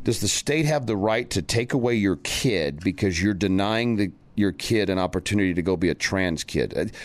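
On a very clean recording with a silent background, a man speaks at a fairly low pitch with ordinary pitch variation. His pace is moderate, with hardly any pauses and very even loudness. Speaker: talk radio host. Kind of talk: angry political rant, indignant preaching-style monologue on culture war topics. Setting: radio show. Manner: indignant, fiery, accusatory, raising the pitch and volume to hammer points; animated, sarcastic, dramatic.

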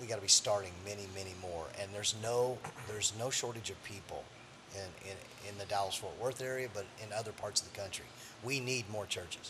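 A fairly low-pitched male voice at a fairly quick pace, with fairly even intonation and noticeable background noise. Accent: American. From Missouri Ozarks. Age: 50s. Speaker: pastor. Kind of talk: interview.

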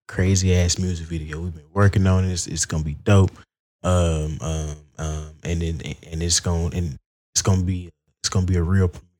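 In a very clean recording with a silent background, a man with an Alabama accent talks at a fairly quick pace in a very deep, low voice with a dark, mellow tone and monotone, flat intonation. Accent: Southern US, Alabama. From Alabama, US South (Wetumpka). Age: 20s. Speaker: rapper and singer. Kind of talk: casual chat.

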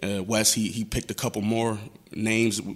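Speaking at a very fast pace, a man has an American accent. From Buffalo, New York (East Side). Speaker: rapper. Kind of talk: casual interview chat.

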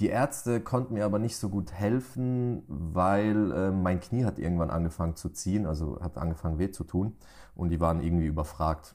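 In a very clean recording with a silent background, a man with a very deep, low pitch and a dark, mellow tone speaks with lively intonation. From Germany, Pforzheim. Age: 20s. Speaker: entrepreneur. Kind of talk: interview.

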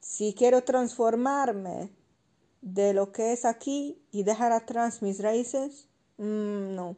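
Against a quiet background, a woman speaks at a very slow pace. Her tone is dark and mellow, with ordinary pitch variation. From foreign country, poorer than Spain. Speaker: student of sociocultural animation, podcast host. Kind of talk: book review monologue. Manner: halting, many fillers.

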